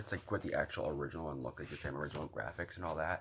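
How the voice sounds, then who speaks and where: This man's voice carries vocal fry. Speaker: vinyl collector vlogger. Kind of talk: casual show-and-tell video. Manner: fast.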